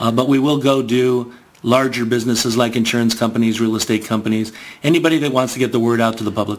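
Delivered with an American accent at a very fast pace, the speech has fairly even intonation and very even loudness over noticeable background noise. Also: man, medium pitch for a man. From Southern California, Garden Grove. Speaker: magazine sales executive. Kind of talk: radio interview.

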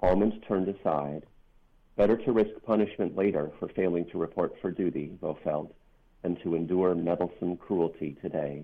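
A man speaks with an American accent at a very deep, low pitch. His pitch varies in an ordinary way. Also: moderate pace. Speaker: author and activist. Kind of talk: interview about a book, with a reading.

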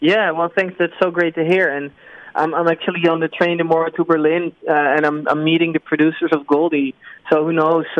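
A man's high-pitched voice with a Dutch accent, fairly quick pace and monotone, flat intonation. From Netherlands. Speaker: film director and writer. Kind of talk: interview. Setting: remote call. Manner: halting, with repetitions.

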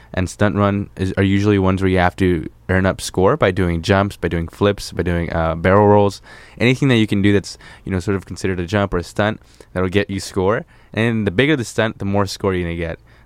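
A fairly low-pitched man's voice at a fairly quick pace, with fairly even intonation. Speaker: guest. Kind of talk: casual chat about a video game. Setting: studio. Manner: relaxed, halting, casual.

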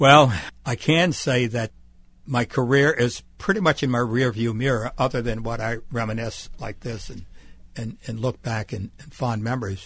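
With an American accent and an ordinary speaking voice, a man talks at a moderate pace and medium pitch, with ordinary pitch variation and big swings in loudness over a quiet background. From US South, Mississippi Gulf Coast. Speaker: retired TV journalist. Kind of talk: interview. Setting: radio studio.

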